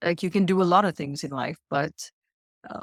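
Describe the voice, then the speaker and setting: In a very clean recording with a silent background, a woman with a South African accent speaks at a fairly low pitch, the sound dry and close with no echo. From South Africa (Indian South African). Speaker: life coach, mother. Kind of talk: podcast interview.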